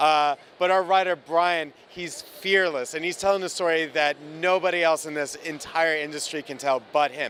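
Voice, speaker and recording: With a New Jersey accent, a man talks in a fairly high pitch and fairly even intonation. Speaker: comic book artist. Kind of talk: interview. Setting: comic convention.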